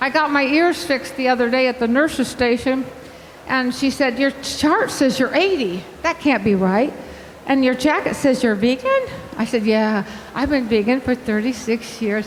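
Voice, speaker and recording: Over noticeable background noise and audible room echo, a woman talks at a moderate pace with a high pitch and very even loudness. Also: ordinary pitch variation. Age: 80s+. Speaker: vegan health coach and speaker. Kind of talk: conference talk. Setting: stage with audience. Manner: animated, talkative.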